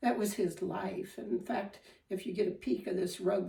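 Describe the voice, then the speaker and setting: A woman's medium pitch with a dark, mellow tone and vocal fry, in a Midwestern accent at a moderate pace. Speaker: spinning and fiber craft teacher. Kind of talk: tutorial. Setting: home dining room. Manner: casual, with frequent filler ums.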